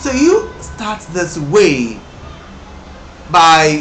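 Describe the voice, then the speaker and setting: A man with a Nigerian accent amid noticeable background noise and audible room echo. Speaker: English exam teacher. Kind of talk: tutorial. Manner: halting, with many self-repairs.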